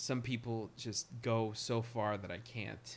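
This man's voice sits at a medium pitch. He talks at a very slow pace. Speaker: podcast co-host. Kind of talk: casual banter. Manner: animated.

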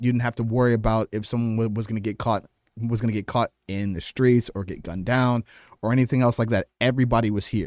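Speaking at a very fast pace with fairly even intonation, a man with a medium-pitched voice and an American accent sounds dry and close with no echo on a very clean recording with a silent background. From US Midwest, East Side Cleveland, Ohio. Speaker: professional wrestler. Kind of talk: casual interview chat. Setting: studio. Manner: halting, frequent word repetitions.

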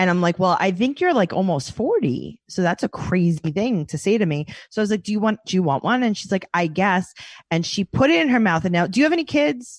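A woman speaks with a New York accent at medium pitch and a fairly quick pace. Her intonation is lively, and the background is quiet. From New York City. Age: 30s. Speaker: comedian and podcast host. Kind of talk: casual chat. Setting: video call.

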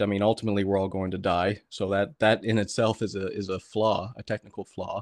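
A man with a Canadian accent speaks at a fairly low pitch in monotone, flat intonation, with a dry, close sound with no echo and a quiet background. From Canada, Atlantic provinces. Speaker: podcaster. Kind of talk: casual chat.

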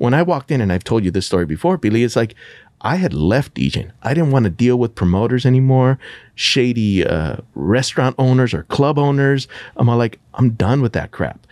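At a medium pitch and fairly quick pace, a man talks in an ordinary speaking voice with lively intonation, very even loudness, and a dry, close sound with no echo. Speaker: podcast host and radio DJ. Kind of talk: casual chat.

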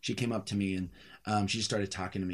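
A man speaks very fast. The background is silent on a very clean recording. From US Midwest, Kansas City. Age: 30s. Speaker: singer-songwriter. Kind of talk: interview.

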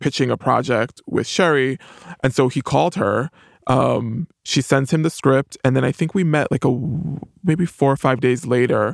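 A man with an American accent and vocal fry speaks at a moderate pace with ordinary pitch variation. His loudness stays very even in a dry, close sound with no echo. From New York, the Bronx. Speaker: TV writer and producer. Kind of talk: interview.

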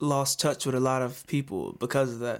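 The background is silent and the recording very clean. A man speaks in an American accent. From US South, Georgia. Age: 20s. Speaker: singer-songwriter and army veteran. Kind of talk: casual interview chat.

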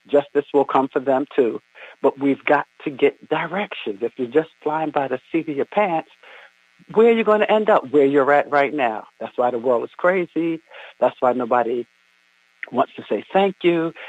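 A man with a plain, everyday voice, lively intonation, and a moderate pace. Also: fairly high pitch for a man. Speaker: caller. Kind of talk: religious reflection. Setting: phone call.

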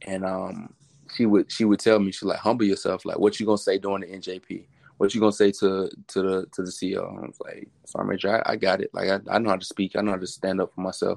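A man's loudness swings a great deal as he speaks very fast. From Atlanta, Georgia (east side). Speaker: Marine, former recruiter. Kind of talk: casual interview. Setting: remote audio call.

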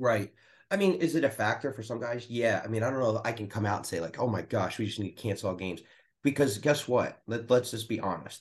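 A man with an American accent speaks at a very fast pace. His voice is somewhat breathy, with ordinary pitch variation. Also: medium pitch for a man. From US Northeast, Philadelphia area. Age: 50s. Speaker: pastor. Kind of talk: casual chat.

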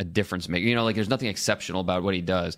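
A man's fairly low-pitched, plain, everyday voice with fairly even intonation. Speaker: football draft analyst. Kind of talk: sports podcast discussion.

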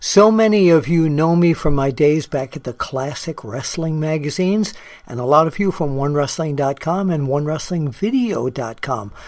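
An ordinary speaking voice with lively intonation, a moderate pace and hardly any pauses. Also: man, fairly high pitch for a man. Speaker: wrestling journalist in ad. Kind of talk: promotional ad read.

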